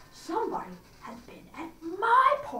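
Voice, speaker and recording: Woman's put-on character voice, extremely high, with very wide pitch swings, a moderate pace and slight echo. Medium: read story.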